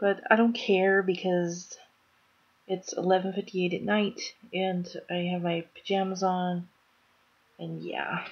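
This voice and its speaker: Soft-spoken woman's voice, monotone and flat, at a fairly slow pace with long, frequent pauses. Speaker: vlogger. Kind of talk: casual vlog chat. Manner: soft, low-energy bedtime voice. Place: home room. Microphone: webcam.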